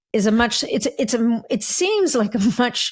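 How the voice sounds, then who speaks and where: In a somewhat breathy voice, a woman talks at a fairly slow pace. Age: 40s. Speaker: podcast host. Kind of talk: podcast interview.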